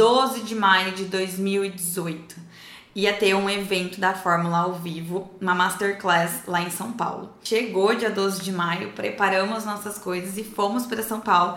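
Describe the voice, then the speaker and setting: Fairly even intonation and a fairly slow pace come through noticeable background noise and audible room echo. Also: woman. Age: 20s. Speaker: online course creator. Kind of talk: testimony.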